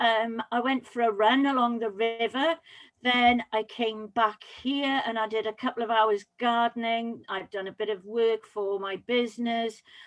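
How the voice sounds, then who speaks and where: With a Welsh accent, a woman talks at a fairly high pitch. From Wales, Pembrokeshire. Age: 60s. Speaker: public speaking coach. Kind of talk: interview.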